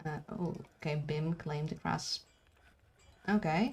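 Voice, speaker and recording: Somewhat breathy, a woman speaks with a very deep, low pitch. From Brazil. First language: Portuguese. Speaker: video game streamer. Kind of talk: live gaming stream commentary. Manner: casual, halting with fillers.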